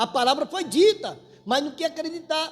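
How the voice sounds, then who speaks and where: At a fairly slow pace, the voice talks while music plays behind it. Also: man. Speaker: church elder preaching. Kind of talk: sermon.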